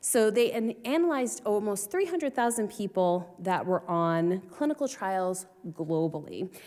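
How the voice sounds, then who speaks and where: A woman with a slight Boston accent speaks at medium pitch in a dark, mellow tone, with lively intonation, very even loudness, a moderate pace and hardly any pauses, on a very clean recording with a silent background. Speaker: research scientist. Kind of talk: conference panel discussion.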